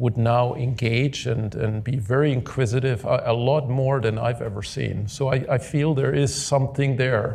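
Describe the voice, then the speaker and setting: A man speaks with a German accent at medium pitch. His intonation stays fairly even at a moderate pace. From Germany. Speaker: podcast host, tech executive. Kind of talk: live panel discussion.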